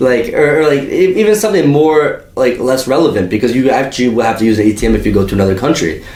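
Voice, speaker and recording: A man's medium-pitched, animated voice at a very fast pace, lively intonation, audible room echo and noticeable background noise. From US, Albanian immigrant family. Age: 20s. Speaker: podcast host. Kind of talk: casual chat.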